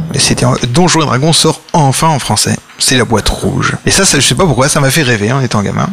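Over noticeable background noise, a man talks at a very fast pace in a medium pitch. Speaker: board game publisher. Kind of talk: casual chat.

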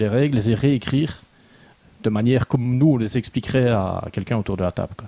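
This man's voice has a medium pitch and a dark, mellow tone. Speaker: board game reviewer. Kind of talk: casual chat.

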